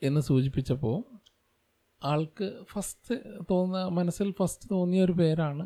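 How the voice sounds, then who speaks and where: A man talks with a high pitch. His tone is dark and mellow. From Malappuram, Kerala. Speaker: engineer and podcaster. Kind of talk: solo podcast monologue. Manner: halting, with pauses.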